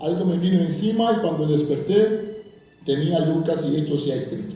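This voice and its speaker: Audible room echo surrounds a man with a high pitch and ordinary pitch variation who speaks at a moderate pace. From Curaçao. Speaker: bible scholar and pastor. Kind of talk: lecture.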